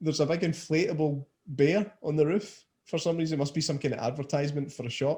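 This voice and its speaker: Fairly high in pitch yet dark and mellow in tone, a somewhat breathy man speaks at a fairly quick pace with a Scottish accent. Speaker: podcast host. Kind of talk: casual podcast talk.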